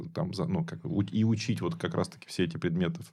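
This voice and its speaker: Speaking very fast, a man uses a fairly low pitch with very wide pitch swings and vocal fry. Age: 40s. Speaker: food company co-owner and executive. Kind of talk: casual chat.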